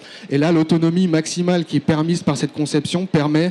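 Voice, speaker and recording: A man talks at a fairly quick pace with a fairly high pitch. His intonation is monotone and flat. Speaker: engineer presenting a project. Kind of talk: conference presentation. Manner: fast; hesitant, many fillers.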